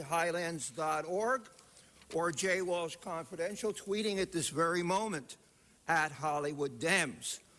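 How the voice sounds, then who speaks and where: Here a man with a high pitch talks at a fairly slow pace, his pitch varying in an ordinary way. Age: 70s. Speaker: public commenter. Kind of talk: public comment at council meeting. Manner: animated.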